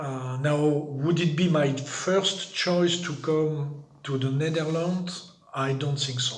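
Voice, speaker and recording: Speaking very slowly with a French accent, a man uses a fairly high pitch and fairly even intonation, amid noticeable background noise and audible room echo. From France. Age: 60s. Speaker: migrant. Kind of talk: interview. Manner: halting.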